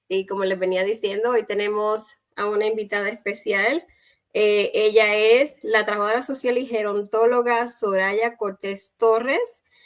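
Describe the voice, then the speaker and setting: Fairly slow and with fairly even intonation, a woman speaks in an unremarkable speaking voice at fairly high pitch. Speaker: talk show host. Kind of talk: live online chat.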